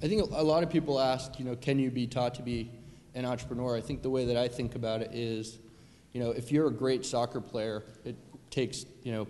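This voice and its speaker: A man with a medium-pitched voice talks at a fairly quick pace with fairly even intonation, a normal speaking voice. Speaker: startup founder. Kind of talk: panel discussion. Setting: stage with audience. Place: hall.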